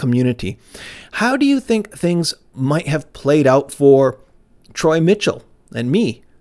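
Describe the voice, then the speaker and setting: A man's fairly high voice with very wide pitch swings at a fairly slow pace, in a very clean recording with a silent background. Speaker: messianic rabbi / teacher. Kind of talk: sermon. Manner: loud, shouting.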